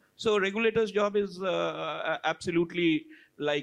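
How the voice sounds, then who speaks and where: A man speaks with an Indian accent and lively intonation. The background is quiet. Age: 60s. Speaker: panelist. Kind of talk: panel discussion. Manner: halting.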